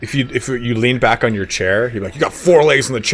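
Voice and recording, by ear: The speaker is reading aloud in a natural voice. The pitch varies in an ordinary way.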